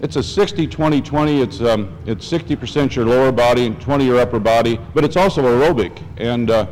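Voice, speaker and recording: Medium-pitched male voice at a fairly quick pace, lively intonation, hardly any pauses, noticeable background noise. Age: 60s. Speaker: rowing instructor. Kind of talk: interview.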